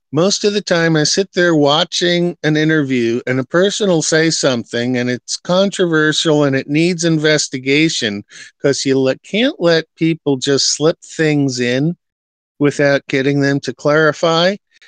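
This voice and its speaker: A man with an American accent speaks at a fairly slow pace, his pitch fairly high with ordinary variation. His loudness stays very even, and the sound is dry and close with no echo. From New York. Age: 60s. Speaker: live stream host. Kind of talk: casual chat.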